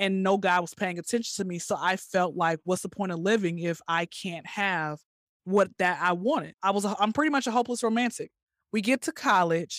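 In an unremarkable speaking voice, a woman of medium pitch with an American accent talks at a fairly quick pace with ordinary pitch variation, on a very clean recording with a silent background and a dry, close sound with no echo. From US South, Atlanta. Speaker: comedian and recent graduate. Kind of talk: interview, personal testimony.

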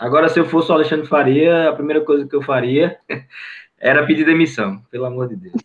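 A man with a fairly high pitch rattles along very fast, his pitch moving with ordinary variation. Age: 20s. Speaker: football fan, channel supporter. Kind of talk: casual chat.

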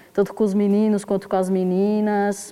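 The woman's voice is dark and mellow in tone and sits at a medium pitch. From south side of São Paulo, Brazil. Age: 30s. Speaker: poet, zine author. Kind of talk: casual interview.

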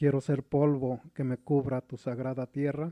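In a Mexico City accent, a man speaks at a fairly slow pace with a medium pitch and a dark, mellow tone, in a dry, close sound with no echo. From Mexico City (Iztapalapa). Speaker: poet and painter. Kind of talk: poetry reading.

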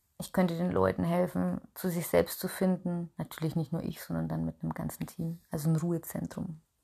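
This woman speaks at a fairly quick pace. She hardly pauses at all. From Upper Franconia, Bayreuth. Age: 30s. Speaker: podcast host and small business owner. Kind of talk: solo personal monologue. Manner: chatty with many filler sounds.

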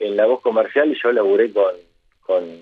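A man is speaking. His pace is very slow. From Argentina, Bragado (Buenos Aires province). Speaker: football radio commentator. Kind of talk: interview conversation. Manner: hesitant, many fillers and repetitions.

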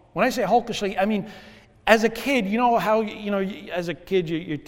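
A man is heard speaking with audible room echo. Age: 50s. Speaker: pastor. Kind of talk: sermon. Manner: halting, with many fillers and repetitions.

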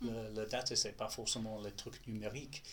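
A man with a strong non-native accent talks at a moderate pace. His fairly low voice carries vocal fry. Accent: strong foreign accent in French. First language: English (speaking French). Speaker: data specialist. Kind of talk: interview. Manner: halting.

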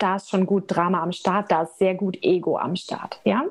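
A woman talks fairly slowly at a medium pitch. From Germany, Nuremberg (Franconia). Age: 20s. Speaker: energy healer. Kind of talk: casual interview chat.

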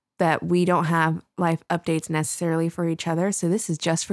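A woman with an unremarkable speaking voice talks at a fairly low pitch and a fairly quick pace. The recording is very clean and dry, close, with no echo and a silent background. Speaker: podcast host. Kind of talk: casual chat.

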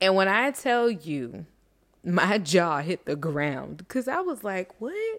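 In a very clean recording with a silent background, a woman with an American accent speaks at medium pitch in an animated tone. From Miami, Florida. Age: 30s. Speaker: life coach podcast host. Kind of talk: casual monologue.

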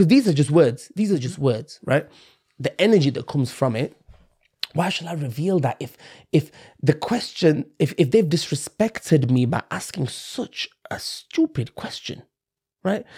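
This man has a fairly high yet dark, mellow voice, somewhat breathy. He talks at a moderate pace with lively intonation. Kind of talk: casual interview chat. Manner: conviction, reflective.

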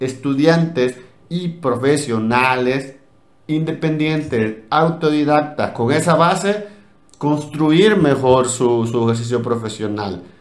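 The man's voice is fairly high, with ordinary pitch variation, and there is audible echo from the room. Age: 30s. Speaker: education podcast host. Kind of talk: casual chat.

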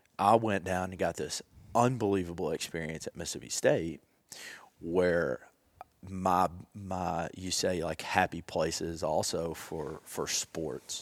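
On a very clean recording with a silent background, a man with a Southern US accent speaks at a very deep, low pitch with fairly even intonation. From Tennessee, Jackson. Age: 30s. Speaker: golf technology representative. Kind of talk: casual chat.

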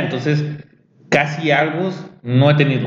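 Somewhat breathy, fairly quick speech in a Mexican accent, fairly even in intonation, with audible room echo. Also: man. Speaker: podcast host. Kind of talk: casual chat. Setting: café.

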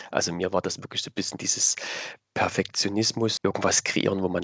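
A man's very deep, low voice, dry and close with no echo. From Saxony, Dresden. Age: 30s. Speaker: cosplayer. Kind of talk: interview answers.

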